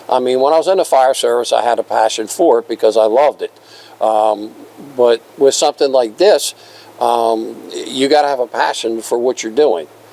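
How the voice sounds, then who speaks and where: Noticeable background noise sits behind a man of medium pitch with ordinary pitch variation, speaking at a moderate pace. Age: 70s. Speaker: railroad museum volunteer and retired firefighter. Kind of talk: casual interview. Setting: museum restoration shop.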